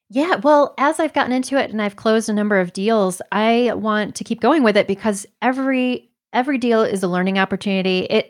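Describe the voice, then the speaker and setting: Recorded very cleanly against a silent background with a dry, close sound and no echo, a woman with an American accent uses an unremarkable speaking voice, fairly high in pitch, with lively intonation at a moderate pace. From Michigan. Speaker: physician and real estate agent. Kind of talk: interview conversation.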